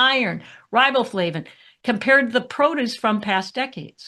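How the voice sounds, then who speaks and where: Over a quiet background, a woman with a bright, sharp tone speaks at a moderate pace with lively intonation. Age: 70s. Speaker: functional nutritionist. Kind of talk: presentation. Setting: webinar.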